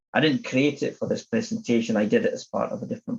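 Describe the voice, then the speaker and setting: In a Scottish accent, a man is talking. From Scotland, Edinburgh. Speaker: agile coach and conference speaker. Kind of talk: conference talk.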